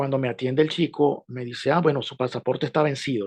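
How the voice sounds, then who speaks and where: A man with a Venezuelan accent at a medium pitch, very fast pace and ordinary pitch variation, in a dry, close sound with no echo against a quiet background. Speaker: journalist. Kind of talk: interview.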